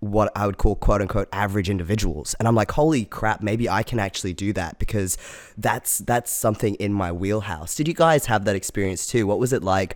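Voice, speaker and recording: Talking at a fairly quick pace, a man uses an ordinary speaking voice, fairly low in pitch with ordinary pitch variation. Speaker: podcast host. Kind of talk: casual chat.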